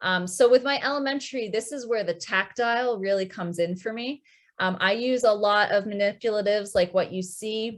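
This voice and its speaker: Against a quiet background, an ordinary speaking voice keeps a moderate pace and shows ordinary pitch variation. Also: woman. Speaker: music teacher. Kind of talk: online workshop presentation. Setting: video call with screen share. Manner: many filler ums.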